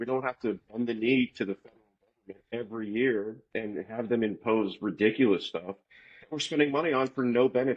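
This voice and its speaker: A man with an American accent talks at a fairly quick pace and medium pitch, with ordinary pitch variation in an unremarkable speaking voice. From Florida. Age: 40s. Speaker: podcast guest. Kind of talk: casual chat.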